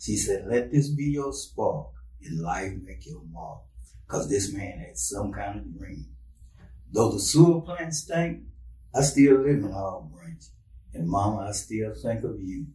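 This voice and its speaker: A man with an American accent speaks at a fairly slow pace, with big swings in loudness. Audible room echo surrounds his voice. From Texas, Brenham. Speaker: poet and author. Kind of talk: reading aloud poetry.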